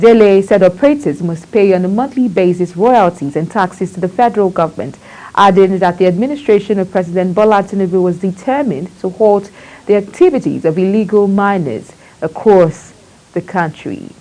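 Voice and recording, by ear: A woman's medium-pitched voice, dark and mellow in tone, at a moderate pace with ordinary pitch variation.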